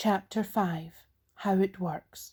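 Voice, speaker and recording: A woman with a Scottish accent speaks in a dark, mellow, somewhat breathy voice with ordinary pitch variation, on a very clean recording with a silent background. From Scotland. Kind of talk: recovery literature reading.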